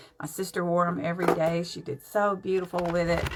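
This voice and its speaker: A woman speaks at a moderate pace and medium pitch. Noticeable background noise runs under her voice. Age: 70s. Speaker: makeup vlogger. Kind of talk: live-stream makeup tutorial. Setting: live stream at home. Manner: casual, chatty.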